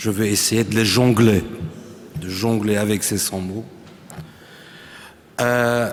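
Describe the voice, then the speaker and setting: A man talks at a very slow pace, leaving long, frequent pauses. His pitch is fairly low and his intonation fairly even. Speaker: writer. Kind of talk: talk at a round table. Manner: halting.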